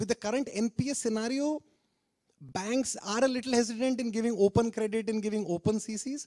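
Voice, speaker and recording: Against a quiet background, a man speaks at a moderate pace. His voice is high in pitch with a dark, mellow tone. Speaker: speaker. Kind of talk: testimonial talk to audience. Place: stage. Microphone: handheld.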